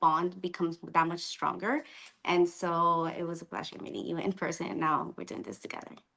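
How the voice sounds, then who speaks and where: Speaking at a fairly quick pace with a Colombian accent, the voice comes through on a very clean recording with a silent background. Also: woman. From Colombia, then Miami from age twelve. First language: Spanish. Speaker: optometrist. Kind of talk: casual interview. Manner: animated.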